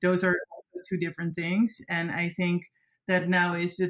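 At a moderate pace, a woman with a Dutch accent speaks in a fairly low pitch. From Netherlands. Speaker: content creator and creative agency founder. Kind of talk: interview.

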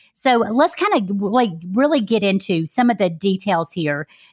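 Using a normal speaking voice, a woman talks at a moderate pace with a medium pitch and lively intonation. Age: 40s. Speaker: podcast host and health coach. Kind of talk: interview.

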